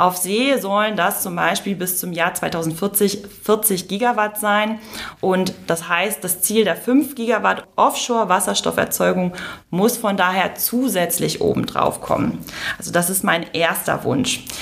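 Noticeable background noise sits behind a woman speaking at a fairly slow pace. Her pitch is medium, with ordinary pitch variation. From northern Germany, Lower Saxony (Emsland). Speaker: mechanical engineer, energy initiative representative. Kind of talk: interview. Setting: live recording.

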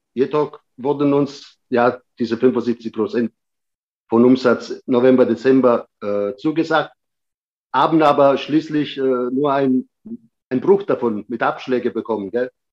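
A man speaks at a fairly slow pace in a medium pitch. His pitch varies in an ordinary way. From Sicily (Patti), moved to Germany at seven. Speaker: restaurant owner. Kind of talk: casual interview. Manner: halting, many fillers.

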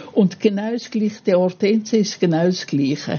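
Lively intonation in an Italian accent. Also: woman. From Italy. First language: Italian (speaking German). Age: 80s+. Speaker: gardener, host's mother. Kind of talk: personal story. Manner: halting.

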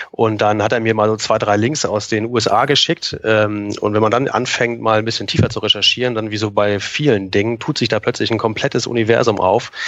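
A man with a fairly low pitch and fairly even intonation, amid noticeable background noise. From northern Germany, near Kiel. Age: 40s. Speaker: Amazon seller consultant. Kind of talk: podcast interview.

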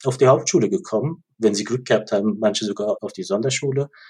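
A man is speaking. His voice is somewhat breathy. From Germany, Ludwigshafen (Rhineland-Palatinate). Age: 40s. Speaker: organisational and policy consultant. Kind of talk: interview.

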